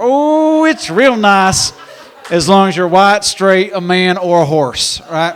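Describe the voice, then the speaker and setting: A high-pitched man with an American accent, over noticeable background noise. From Indiana. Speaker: stand-up comedian. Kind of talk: stand-up. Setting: stage with audience.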